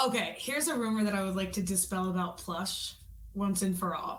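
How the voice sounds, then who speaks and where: In a room with audible room echo, a woman speaks at a medium pitch with ordinary pitch variation and a slight New York accent. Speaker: rock singer. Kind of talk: interview.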